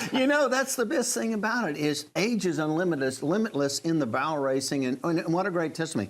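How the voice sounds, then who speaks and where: Over noticeable background noise, a high-pitched man talks very fast with hardly any pauses, very wide pitch swings and very even loudness. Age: 60s. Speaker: rodeo association president. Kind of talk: casual chat.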